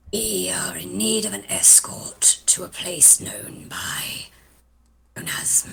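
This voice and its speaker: A put-on character voice whispers at a fairly slow pace. It rumbles and hisses. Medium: actual play. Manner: insulting, haughty, grumbling.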